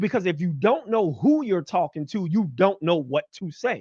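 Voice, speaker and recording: A man speaks loudly at a high pitch with very wide pitch swings. The sound is dry and close, with no echo. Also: quiet background. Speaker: podcast host. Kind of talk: podcast monologue.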